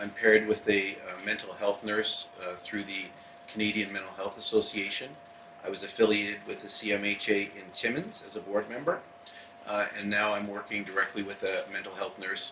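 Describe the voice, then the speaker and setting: Amid noticeable background noise and audible room echo, a man with a fairly low pitch speaks with monotone, flat intonation. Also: moderate pace. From Eastern Ontario, Canada. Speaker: police officer. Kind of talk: public speech. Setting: event hall with live audience. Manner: unprepared, with many hesitations.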